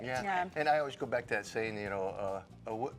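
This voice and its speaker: With an American accent, a man talks at a very fast pace and with ordinary pitch variation. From United States. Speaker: fitness personality. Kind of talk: interview answer. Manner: enthusiastic, energetic.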